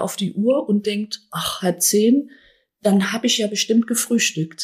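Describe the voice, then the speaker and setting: A woman speaks fairly slowly in a fairly high, somewhat breathy voice. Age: 60s. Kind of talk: interview, explanatory.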